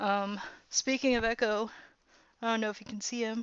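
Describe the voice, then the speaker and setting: With ordinary pitch variation, the voice proceeds at a fairly slow pace. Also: woman. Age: 20s. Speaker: streamer reacting to a TV show. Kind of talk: live stream reaction, casual chat. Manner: hesitant, many fillers.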